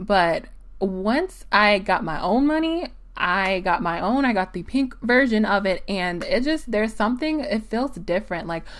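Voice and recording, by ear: A woman with an American accent, a medium pitch, a fairly slow pace and lively intonation.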